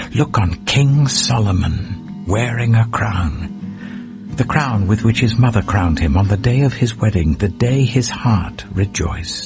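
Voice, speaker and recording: With music in the background, a man at medium pitch talks at a fairly slow pace with lively intonation, hardly any pauses and very even loudness. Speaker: audiobook narrator. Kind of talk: Bible audiobook reading. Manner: calm, soothing.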